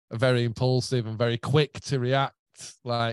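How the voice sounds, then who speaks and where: This man speaks with a Yorkshire accent at a medium pitch. The sound is dry and close with no echo, over a quiet background. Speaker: guitarist and songwriter. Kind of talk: casual chat. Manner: animated.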